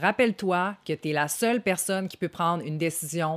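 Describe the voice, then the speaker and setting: The very clean recording with a silent background captures a woman speaking at a fairly low pitch. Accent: Quebec. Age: 30s. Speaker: content creator. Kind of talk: self-help monologue. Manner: casual.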